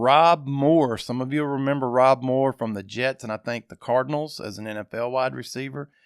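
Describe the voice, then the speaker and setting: Fairly quick and medium in pitch, a man with an Arkansas accent speaks with ordinary pitch variation, recorded very cleanly with a silent background and a dry, close sound with no echo. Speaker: sports podcast host. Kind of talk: casual podcast monologue. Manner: conversational, with fillers.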